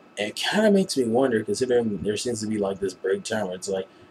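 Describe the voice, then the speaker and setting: A man with an American accent speaks at a fairly low pitch with fairly even intonation. Noticeable background noise sits behind him. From United States. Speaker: anime reviewer, vlogger. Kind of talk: casual review vlog. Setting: webcam recording at home at night. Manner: lowered voice, quieter than usual; rambling with fillers and restarts.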